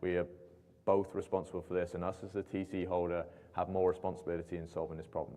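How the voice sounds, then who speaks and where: A man with a British accent talks at a fairly quick pace in a very deep, low voice with a dark, mellow tone. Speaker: aviation company representative. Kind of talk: Q&A at industry meeting.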